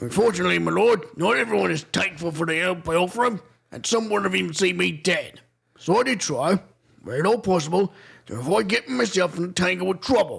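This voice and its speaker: A man's put-on character voice, raspy and high, delivered very fast with lively intonation. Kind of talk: comic overacting. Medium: game stream. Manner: folksy, ingratiating, dialect-heavy.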